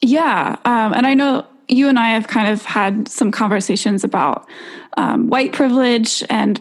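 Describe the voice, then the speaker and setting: A normal speaking voice from a woman, pitched fairly high, moderate in tempo, its pitch moving in an ordinary way. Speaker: podcast host. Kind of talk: interview.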